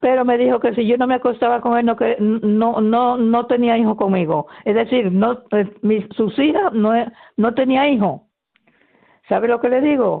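A woman's normal speaking voice, a normal speaking voice that is fairly high, fairly slow, very even in loudness, with ordinary pitch variation.

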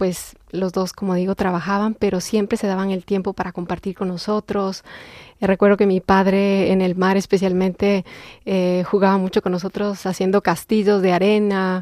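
At a moderate pace, a woman with a medium-pitched voice speaks in a flat monotone, the sound dry and close with no echo. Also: very clean recording, silent background. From Ecuador (Quito). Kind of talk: testimony.

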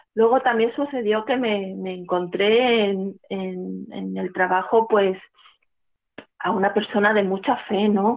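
A woman of medium pitch talks very slowly, keeping her intonation fairly even. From Spain, Málaga (Andalusia). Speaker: church charity coordinator. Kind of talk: testimony. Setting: phone call. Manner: halting.

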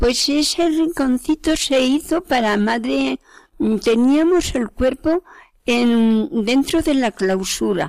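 In a very clean recording with a silent background and a dry, close sound with no echo, a woman speaks very slowly at a high pitch with lively intonation. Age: 80s+. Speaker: cloistered nun. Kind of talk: interview. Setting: convent.

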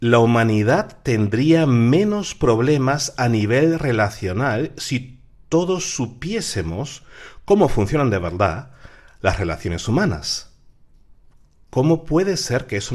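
The pitch of this man's voice swings very widely. He keeps to a fairly slow pace. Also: very clean recording, silent background. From Peru. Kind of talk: radio talk on faith and psychology. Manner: halting.

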